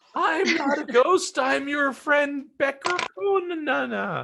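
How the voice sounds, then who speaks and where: Someone in a put-on character voice speaks at a high pitch and a very slow pace. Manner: eerie, strange.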